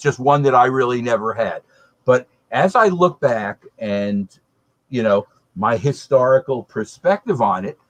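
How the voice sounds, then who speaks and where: Recorded with a dry, close sound and no echo, a man speaks in a plain, everyday voice of medium pitch, fairly slowly, with lively intonation. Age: 60s. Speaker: beer panelist. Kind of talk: casual chat.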